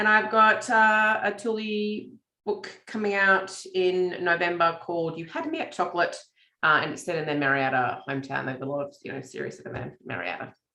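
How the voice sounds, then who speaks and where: With an Australian accent, a woman at medium pitch talks at a fairly quick pace, with lively intonation and big swings in loudness. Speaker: romance author. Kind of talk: casual chat. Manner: hesitant with fillers.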